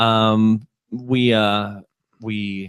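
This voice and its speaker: This man talks in a flat monotone with a Texas accent and a fairly low pitch. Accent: Texas drawl. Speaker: video podcast host. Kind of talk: casual chat.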